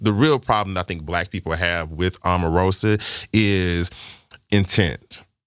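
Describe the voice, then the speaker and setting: Very deep and low, a man's voice comes through. The recording is very clean, with a silent background. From Arkansas, US South. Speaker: filmmaker. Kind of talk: casual chat.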